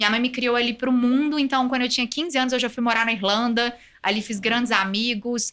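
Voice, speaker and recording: Her tone is bright and sharp, her pitch high, and her loudness very even. The woman moves at a fairly quick pace with fairly even intonation. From Brazil, Minas Gerais (Belo Horizonte). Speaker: compliance executive, lawyer. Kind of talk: podcast interview.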